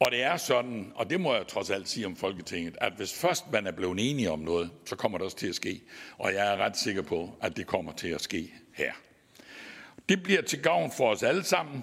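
Recorded very cleanly with a silent background, a man with a Southern Jutland accent speaks at a moderate pace in a fairly low voice with very wide pitch swings. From Southern Jutland, Denmark (Vojens). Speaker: Danish parliament committee chair. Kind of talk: formal conference speech.

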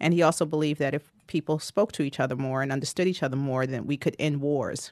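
Against a quiet background, a woman with an American accent speaks at a fairly quick pace in a very deep, low pitch, her intonation fairly even. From New York, the Bronx. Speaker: investment officer. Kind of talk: interview.

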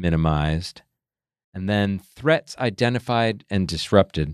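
A man speaks in a plain, everyday voice, fairly low in pitch with lively intonation. He keeps a fairly slow pace against a quiet background. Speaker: podcast co-host. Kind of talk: casual interview. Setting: studio.

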